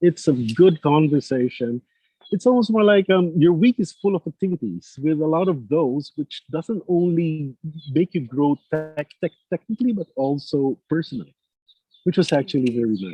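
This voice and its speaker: With a non-native accent, a man speaks at a moderate pace in a fairly high pitch. His intonation is lively. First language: not English. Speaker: former trainee, data analyst. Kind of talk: interview. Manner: halting, many fillers and repeats.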